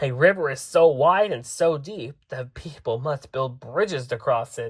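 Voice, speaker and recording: A man puts on a character voice, pitched fairly high. He keeps a moderate pace. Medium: read story.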